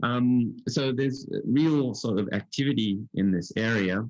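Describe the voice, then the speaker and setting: A man with an Australian accent talks with lively intonation. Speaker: physics professor. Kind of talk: lecture. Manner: halting, many fillers.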